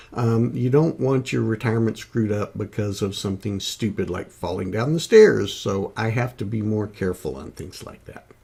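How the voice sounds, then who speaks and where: A man talks in a fairly low pitch with hardly any pauses and big swings in loudness. Noticeable background noise can be heard behind him. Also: ordinary pitch variation, moderate pace. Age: 60s. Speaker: retired vlogger sharing health and gardening tips. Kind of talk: casual vlog talk. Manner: hesitant with many fillers.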